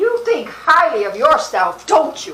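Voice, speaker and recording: Using a put-on character voice, a woman pitches it extremely high. She talks at a fairly slow pace. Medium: short film. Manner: sharp, probing.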